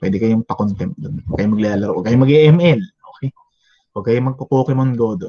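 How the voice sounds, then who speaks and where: With lively intonation, a man speaks in a dark, mellow, somewhat breathy voice of medium pitch, the sound dry and close with no echo. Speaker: teacher. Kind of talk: lecture. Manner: conversational.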